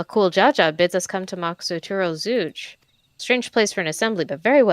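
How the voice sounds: Against quiet surroundings, a natural reading voice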